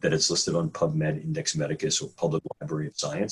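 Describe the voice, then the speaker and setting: Speaking fairly quickly, a man talks in a New York accent. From New York City. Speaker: neuroscientist. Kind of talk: interview. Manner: some hesitations and repeated words.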